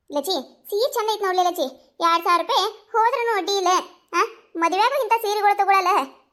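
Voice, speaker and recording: A woman uses a cartoonish character voice at an extremely high pitch. She keeps a moderate pace. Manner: warm, enthusiastic.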